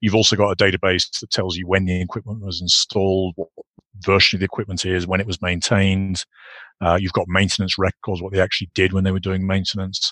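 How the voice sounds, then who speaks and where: Over a quiet background, a man talks at a very fast pace in a very deep, low voice with monotone, flat intonation and a dry, close sound with no echo. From UK. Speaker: entrepreneur, software company cofounder. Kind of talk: interview conversation.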